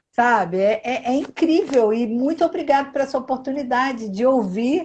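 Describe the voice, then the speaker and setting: Pitched high, a woman talks with ordinary pitch variation. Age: 60s. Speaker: live stream host. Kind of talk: live video chat.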